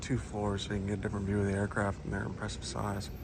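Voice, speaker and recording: Words come very fast from this man. The room adds audible echo. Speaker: vlogger. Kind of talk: casual vlog narration. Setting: indoor museum hangar.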